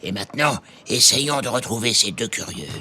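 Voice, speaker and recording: A man does a put-on character voice with lively intonation. He keeps a medium pitch and a moderate pace. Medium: audio drama. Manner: insinuating, sly.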